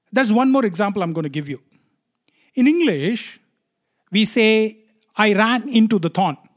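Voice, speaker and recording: Speaking in a Tamil accent, a man uses a high pitch and lively intonation at a moderate pace. He leaves long, frequent pauses. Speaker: podcast host. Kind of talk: solo podcast monologue.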